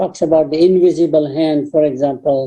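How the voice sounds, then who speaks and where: Speech comes at a moderate pace, showing ordinary pitch variation in a dark, mellow tone. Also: woman. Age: 80s+. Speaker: professor. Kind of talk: panel discussion.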